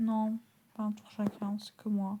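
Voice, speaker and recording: Soft-spoken and at medium pitch, a woman talks over noticeable background noise. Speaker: gaming youtuber. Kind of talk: gameplay commentary.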